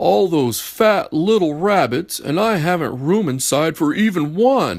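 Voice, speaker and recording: The speaker uses a put-on character voice. The delivery moves at a fairly slow pace. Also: man, high pitch for a man. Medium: read story. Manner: grumbling.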